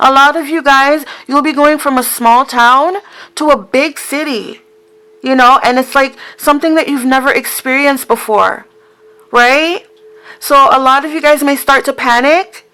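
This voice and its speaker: A woman with a high pitch uses a raised, projected voice at a moderate pace with ordinary pitch variation. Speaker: tarot card reader. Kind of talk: casual talk to camera. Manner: stuttering, mumbling.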